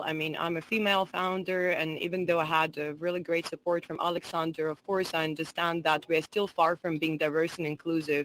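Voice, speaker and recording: A woman with a Russian accent, fairly low in pitch, at a moderate pace, on a very clean recording with a silent background. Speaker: entrepreneur and digital strategist. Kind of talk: conference talk.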